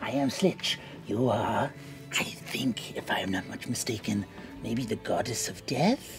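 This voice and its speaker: Over clear background music, a man uses a put-on character voice at a medium pitch and a moderate pace. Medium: actual play. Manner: eager, excitable, self-important.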